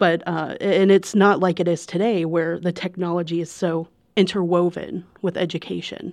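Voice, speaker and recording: The speaker talks at a moderate pace in a monotone, flat intonation with hardly any pauses. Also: woman, fairly low pitch for a woman. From Northern Kentucky. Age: 30s. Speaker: newspaper reporter. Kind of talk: casual chat. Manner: halting.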